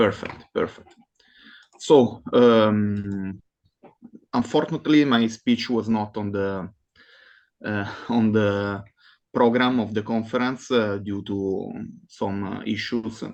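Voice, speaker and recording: A man with a fairly low pitch speaks at a very slow pace with long, frequent pauses against a quiet background. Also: fairly even intonation. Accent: non-native. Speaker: academic conference presenter. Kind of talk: conference presentation. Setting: online video call. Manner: halting, many fillers.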